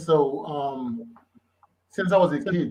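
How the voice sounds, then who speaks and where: A man with a Haitian accent speaks at a fairly high pitch, with ordinary pitch variation and audible room echo. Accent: Haitian Creole. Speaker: author and lyricist. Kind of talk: casual interview. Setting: live stream.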